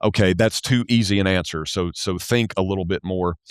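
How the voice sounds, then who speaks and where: A man's very deep, low voice with a Southern US accent, ordinary pitch variation, and a dry, close sound with no echo. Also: very clean recording, silent background. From US South. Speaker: church accounting specialist. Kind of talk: podcast interview. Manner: slow; halting, many repetitions and fillers.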